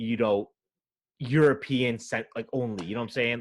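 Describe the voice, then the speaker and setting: A man's medium-pitched voice, with ordinary pitch variation, comes through in a very clean recording with a silent background. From United States. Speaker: podcast host. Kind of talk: casual interview chat. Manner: hesitant, self-interrupting.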